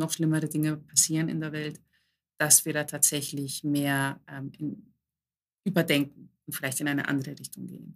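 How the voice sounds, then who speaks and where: A woman with a very deep, low voice speaks at a moderate pace. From Germany, Greek immigrant family. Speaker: coach and author. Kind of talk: casual interview chat.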